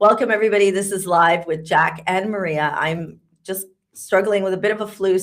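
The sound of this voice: A woman's put-on character voice, croaky, raspy and hoarse, at a medium pitch with fairly even intonation and a fairly quick pace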